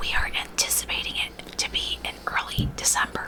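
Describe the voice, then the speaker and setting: Over noticeable background noise, there is a woman whispering at a moderate pace. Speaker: ASMR host. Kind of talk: 1960s radio roleplay trivia host. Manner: whispered, ASMR.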